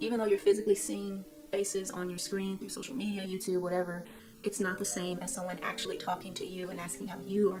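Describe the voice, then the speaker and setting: Over background music and audible room echo, a woman at medium pitch speaks at a very fast pace, with big swings in loudness and ordinary pitch variation. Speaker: YouTuber giving self-help advice. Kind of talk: casual vlog talk. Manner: casual, with fillers.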